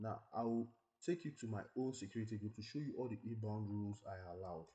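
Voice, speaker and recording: A somewhat breathy man's voice, fairly low and dark and mellow in tone, at a very fast pace with ordinary pitch variation. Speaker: tech tutorial creator. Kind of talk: tutorial.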